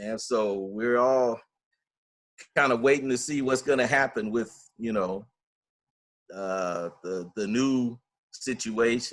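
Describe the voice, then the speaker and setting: With an American accent, a man talks at a very slow pace and medium pitch, using ordinary pitch variation and long, frequent pauses. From Los Angeles, California. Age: 60s. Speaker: retired purchasing agent turned actor. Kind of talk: interview. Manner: conversational, with frequent fillers.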